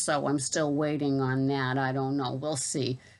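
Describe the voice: In a Boston accent, a woman speaks with a low pitch and a fairly bright tone. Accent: Boston, non-rhotic.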